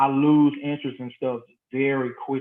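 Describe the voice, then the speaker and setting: A man speaks in a normal speaking voice at a fairly high pitch. His pace is moderate. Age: 30s. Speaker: high school band director. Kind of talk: interview.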